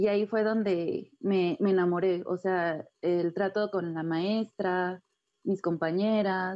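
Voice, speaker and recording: This woman talks at a very slow pace, her medium pitch held in fairly even intonation. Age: 20s. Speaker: contemporary dancer. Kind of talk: interview.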